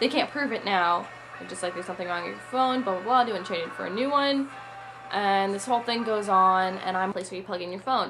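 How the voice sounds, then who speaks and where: Over background music and audible room echo, a woman talks very fast at medium pitch. Her intonation is lively, and her loudness swings widely. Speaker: YouTube vlogger. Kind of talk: casual product review. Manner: chatty.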